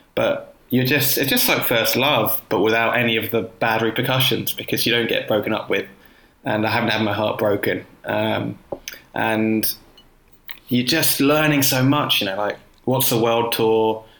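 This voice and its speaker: With a southern English accent, a man speaks at a moderate pace and medium pitch, his intonation fairly even and his loudness very even. Noticeable background noise runs behind him. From South London, Croydon. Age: 30s. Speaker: cycling writer. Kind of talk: casual interview.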